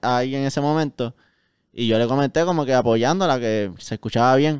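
A man talks at a very fast pace with fairly even intonation and a fairly high pitch. The sound is dry with no echo, and the background is quiet. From Puerto Rico, Caguas; Puerto Rico. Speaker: musician; guest. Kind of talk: casual chat. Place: studio. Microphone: handheld.

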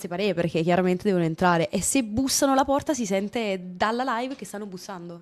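A woman's lively intonation at a fairly quick pace. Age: 20s. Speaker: streamer. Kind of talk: casual chat. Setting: video call. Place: home room. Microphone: studio mic.

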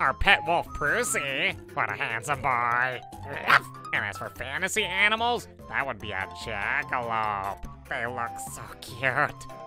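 With clear music in the background, a man puts on a character voice at medium pitch and a fairly slow pace. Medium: dub. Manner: cheerful.

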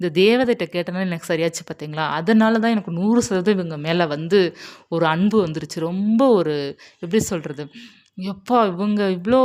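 A woman's medium-pitched voice with ordinary pitch variation, an ordinary speaking voice, on a very clean recording with a silent background. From Tamil Nadu. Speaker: spiritual YouTuber. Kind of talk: personal testimony.

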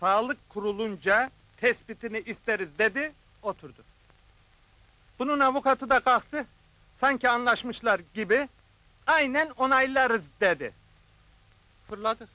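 A man's raised, projected voice, bright and sharp in tone, with long, frequent pauses and a dry sound with no echo. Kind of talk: acted storytelling dialogue.

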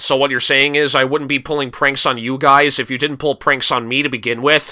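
In a put-on character voice, a man speaks at a fairly quick pace with medium pitch and a monotone, flat intonation. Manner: sarcastic, exasperated.

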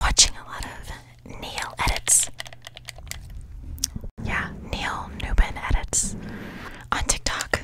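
Over loud background noise, a soft-spoken voice whispers at a very slow pace. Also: woman, dry sound with no echo. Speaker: ASMR creator. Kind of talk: soft casual ASMR chat. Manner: soft close-mic ASMR whisper. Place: home room. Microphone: studio mic.

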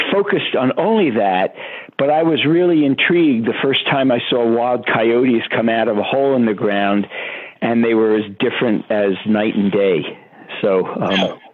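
A man with an American accent speaks in a plain, everyday voice at a moderate pace. His loudness stays very even while his intonation is lively. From Brooklyn, New York. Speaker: animal behavior scientist. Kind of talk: interview.

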